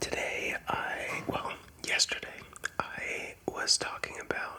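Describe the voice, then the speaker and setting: The speech is whispered. Noticeable background noise runs behind it. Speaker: ASMR content creator. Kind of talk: ASMR rambling talk to camera.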